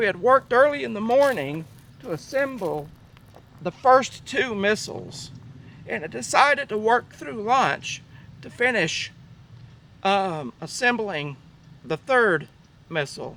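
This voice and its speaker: Speaking fairly slowly with long, frequent pauses, a man uses a raised, projected voice that is high in pitch with a bright, sharp tone. His pitch swings very widely and his loudness shifts a lot. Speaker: army veteran. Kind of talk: recollection told on site. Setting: outdoors.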